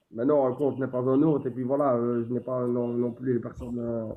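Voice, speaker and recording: The pace of this man's speech is fairly quick. He talks at a medium pitch. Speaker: social media streamer. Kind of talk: casual chat. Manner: fast.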